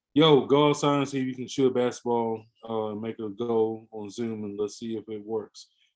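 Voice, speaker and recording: With an American accent, a man keeps a moderate pace and hardly any pauses. His intonation stays fairly even. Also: medium pitch for a man. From US South, Pensacola, Florida. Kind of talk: podcast interview. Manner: halting, many fillers.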